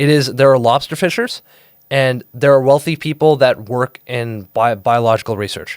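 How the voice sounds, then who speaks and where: A man speaks at a fairly quick pace and a medium pitch. The recording is very clean and silent in the background, the sound dry and close with no echo. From Singapore and Maine, US. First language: Telugu. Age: 20s. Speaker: podcast guest. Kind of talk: casual interview chat. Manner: animated, with frequent repetitions and fillers.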